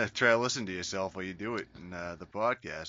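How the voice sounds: At a fast pace, a man speaks with a low pitch and a bright, sharp tone.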